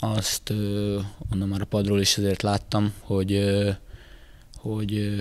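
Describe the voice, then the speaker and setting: A man speaks in a fairly low pitch, the sound dry with no echo. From Hungary. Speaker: football player, club captain. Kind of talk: casual interview. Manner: halting, many filler words. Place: hall. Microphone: handheld.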